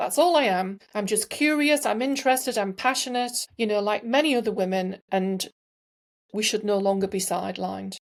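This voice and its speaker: Over a silent background in a very clean recording, a woman with an English accent speaks at a medium pitch and a fairly quick pace with lively intonation. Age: 60s. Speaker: entrepreneur and sustainability advocate. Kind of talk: podcast interview.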